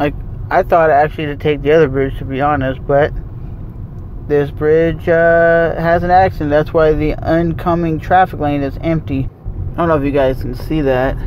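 A man speaks at a fairly high pitch and a moderate pace, with little pitch movement and clear background noise.

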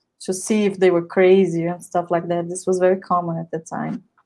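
A woman with a Portuguese accent, monotone and flat, against a quiet background. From Brazil. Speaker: event organizer and moderator, doctoral student; moderator. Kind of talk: event moderation. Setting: livestream video platform. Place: home room. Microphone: earbuds.

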